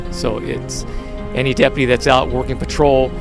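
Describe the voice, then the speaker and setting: A man speaks at a moderate pace with a very deep, low pitch. The sound is dry with no echo, and music plays clearly in the background. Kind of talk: interview answer. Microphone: handheld.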